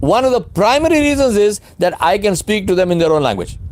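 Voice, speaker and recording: A man with a Pakistani accent talks at a high pitch. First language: Urdu. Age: 60s. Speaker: leadership speaker and consultant. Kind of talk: webinar Q&A lecture. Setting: online webinar. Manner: emphatic.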